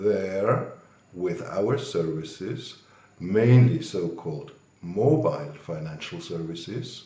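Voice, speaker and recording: The speaker talks at a very slow pace with very wide pitch swings, and audible room echo surrounds the voice. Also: man, fairly low pitch for a man. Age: 60s. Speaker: banker. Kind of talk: interview.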